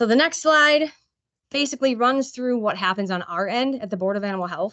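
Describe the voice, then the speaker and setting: A woman's fairly high voice, fairly quick in pace and lively in intonation. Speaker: state animal health program staff. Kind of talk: presentation at a board meeting. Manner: fast.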